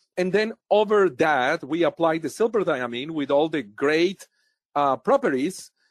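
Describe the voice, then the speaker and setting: A man with a Spanish accent speaks at a fairly slow pace and a high pitch with lively intonation, in a dry, close sound with no echo over a quiet background. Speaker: dentist and professor. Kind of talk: professional interview.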